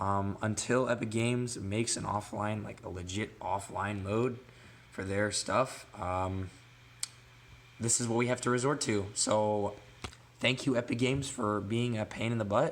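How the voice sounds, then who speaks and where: A man speaks in an unremarkable speaking voice at a fairly slow pace. His pitch is fairly low, and his intonation stays fairly even. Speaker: gaming tech youtuber. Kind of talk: tutorial. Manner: casual with many fillers.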